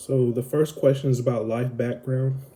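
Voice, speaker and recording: A man speaks with an American accent. His tone is dark and mellow, and somewhat breathy. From US South (Alabama and Florida). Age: 20s. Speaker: vlogger. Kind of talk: casual Q&A monologue. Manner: slow; hesitant, many fillers.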